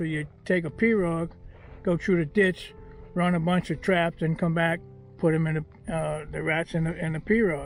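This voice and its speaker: Over music in the background, a man with a high pitch speaks at a moderate pace with fairly even intonation. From South Louisiana. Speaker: duck hunter, former trapper. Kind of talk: interview answer.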